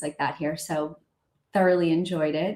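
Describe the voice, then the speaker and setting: A woman with an American accent, a normal speaking voice, fairly low pitch, and ordinary pitch variation. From US Northeast, outside Boston, Massachusetts. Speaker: entrepreneur, fashion brand founder. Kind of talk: interview on a live stream. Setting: video call live stream.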